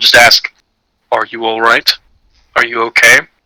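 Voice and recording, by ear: Putting on a rumbling character voice, a man of medium pitch speaks at a moderate pace.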